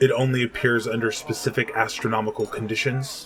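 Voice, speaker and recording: A man puts on a growling character voice at medium pitch and a fairly quick pace. Clear background noise sits behind him. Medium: read story. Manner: terse, brooding.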